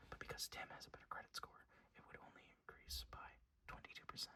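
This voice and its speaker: A man whispering. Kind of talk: ASMR whisper ramble. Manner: whispered, soft-spoken.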